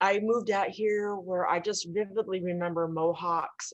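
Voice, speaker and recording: Using an ordinary speaking voice, a woman talks at a moderate pace and medium pitch. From US Midwest, Illinois. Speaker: interview guest. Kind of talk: personal story in interview.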